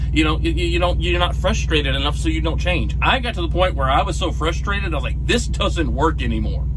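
A man's voice over noticeable background noise. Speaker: truck driver vlogger. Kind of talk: casual vlog chat. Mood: earnest, motivational. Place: car. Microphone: phone near.

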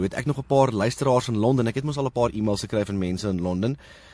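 A very fast-paced man's voice, medium in pitch, dark and mellow, with ordinary pitch variation. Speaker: podcast host. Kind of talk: casual podcast monologue. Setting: in a car in a parking lot.

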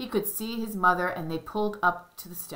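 What we hear is an unforced reading voice.

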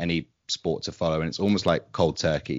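A man speaks with a southern English accent. His pitch is very deep and low. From England, London. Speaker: podcast co-host. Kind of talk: casual interview chat.

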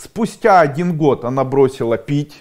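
The background is quiet as a man speaks at a fairly slow pace. His intonation is lively. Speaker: coach or school founder. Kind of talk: motivational talk to camera. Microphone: lapel.

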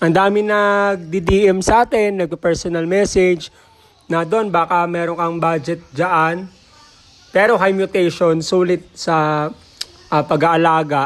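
The speaker has an animated, upbeat tone, ordinary pitch variation and a fairly slow pace. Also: man. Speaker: bird breeder and seller. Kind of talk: street-seller style sales pitch, vlog. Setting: outdoors at aviary, filming with camera. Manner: animated, upbeat, repeats price hooks.

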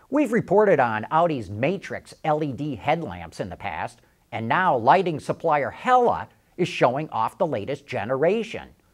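Against a quiet background, a man speaks at a fairly slow pace with vocal fry and very wide pitch swings. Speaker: news show host. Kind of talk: news presenting. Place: studio. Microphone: lapel.

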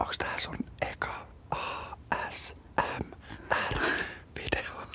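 A man whispering at a very slow pace. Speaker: radio host. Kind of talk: ASMR interview. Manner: whispered. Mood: playful, amused. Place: studio. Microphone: studio mic.

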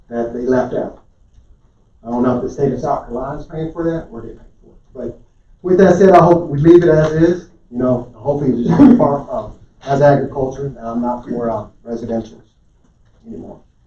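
Spoken at a fairly quick pace with an American accent, the voice carries audible room echo. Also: man, fairly high pitch for a man, ordinary pitch variation, big swings in loudness. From Oklahoma. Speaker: public commenter. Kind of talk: public comment at council meeting. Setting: county council meeting.

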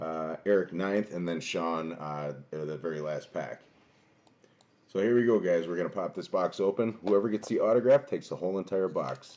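A man's low-pitched voice with a slightly mellow tone. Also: ordinary pitch variation, moderate pace.

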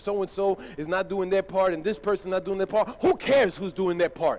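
A man speaks at a very fast pace in a high pitch. His tone is animated. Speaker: pastor. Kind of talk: sermon. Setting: church. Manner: animated, emphatic preacher in full flow, rhetorical questions and punchy repetition. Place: church.

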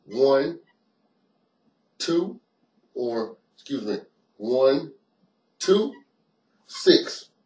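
Audible room echo surrounds a man who talks at a very slow pace with long, frequent pauses and lively intonation. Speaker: martial arts instructor. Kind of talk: tutorial. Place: home room. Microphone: webcam.

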